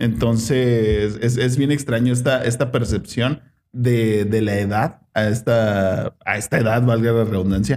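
Using an ordinary speaking voice, a man talks at a fairly slow pace with fairly even intonation and hardly any pauses. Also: medium pitch for a man, very even loudness. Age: 20s. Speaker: podcast host. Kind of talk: casual chat.

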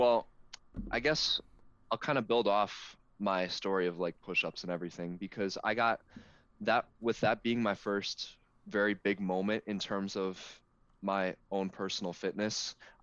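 A man speaks in a fairly low pitch with fairly even intonation at a fairly slow pace. He has a normal speaking voice. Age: 20s. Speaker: college student and natural bodybuilder. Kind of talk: casual interview.

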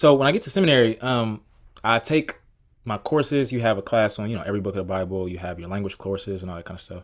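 This man talks very fast with an American accent, his pitch fairly low and his pitch variation ordinary. The recording is very clean, with a silent background. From US South, Atlanta, Georgia. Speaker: PhD student and Bible podcaster. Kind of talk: casual interview.

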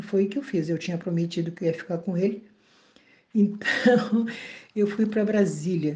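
A somewhat breathy woman's voice of medium pitch, dark and mellow in tone, with fairly even intonation. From southern Brazil, Bagé (Rio Grande do Sul). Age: 70s. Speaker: retired teacher. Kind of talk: testimony.

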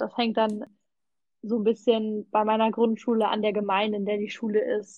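A woman speaks in a plain, everyday voice at a moderate pace. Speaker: volunteer language assistant. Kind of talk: casual chat.

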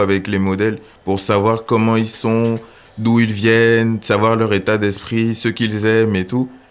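Here a man speaks at a fairly slow pace. His pitch sits in the medium range. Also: very even loudness. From Gabon. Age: 20s. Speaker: photographer and accountant. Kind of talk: interview.

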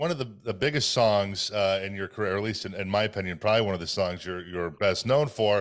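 This man has an ordinary speaking voice with ordinary pitch variation. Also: very clean recording, silent background. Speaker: podcast host. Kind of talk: interview chat.

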